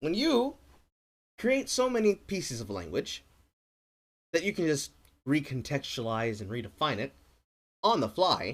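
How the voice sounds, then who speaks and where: Delivered at a moderate pace with long, frequent pauses, the voice swings very widely in pitch and shows vocal fry on a very clean recording with a silent background. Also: man, fairly high pitch for a man. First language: not English. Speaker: streamer. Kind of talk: live stream reaction commentary. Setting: live stream. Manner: animated.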